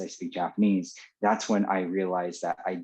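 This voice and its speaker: A man with a Californian accent speaks in monotone, flat intonation at a fairly low pitch and moderate pace against a quiet background. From California, Los Angeles. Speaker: former teacher in Japan. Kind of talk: interview. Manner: halting, many fillers and repeats.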